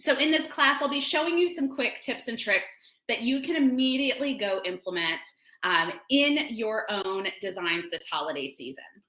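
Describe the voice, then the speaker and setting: In a raised, projected voice, a woman with a high pitch speaks at a moderate pace with very wide pitch swings. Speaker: florist and floral design teacher. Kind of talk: webinar tutorial. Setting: online webinar. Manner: animated.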